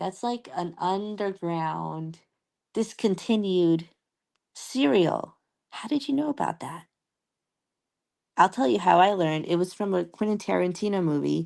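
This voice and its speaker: Against a quiet background, a woman speaks at medium pitch and moderate pace with long, frequent pauses. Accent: American. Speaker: livestreamer. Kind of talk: casual livestream chat with viewers. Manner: talking a bit strange.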